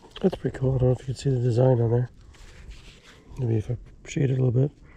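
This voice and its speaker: A man talks very fast in a dark, mellow tone that is somewhat breathy. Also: medium pitch for a man, fairly even intonation. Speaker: metal detecting video creator. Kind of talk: outdoor detecting vlog commentary. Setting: outdoors at wooded farm site. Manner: hesitant, many fillers.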